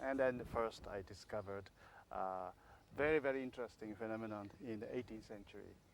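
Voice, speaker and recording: This is a man with a medium-pitched voice. He speaks in a Japanese accent. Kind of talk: interview. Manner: halting, many fillers.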